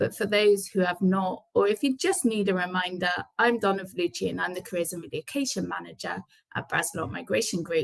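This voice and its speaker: Speaking at a fairly quick pace with a British accent, a woman shows vocal fry. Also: medium pitch for a woman, ordinary pitch variation. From UK. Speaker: immigration careers and relocation manager. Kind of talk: webinar presentation. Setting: online webinar.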